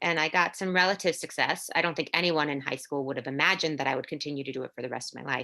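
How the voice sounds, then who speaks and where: Talking at a very fast pace with hardly any pauses, a woman uses a very deep, low pitch, ordinary pitch variation and a bright, sharp tone. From Orlando, Florida, Puerto Rican family. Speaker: actor. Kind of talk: interview, life story. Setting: podcast interview. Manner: halting, many fillers.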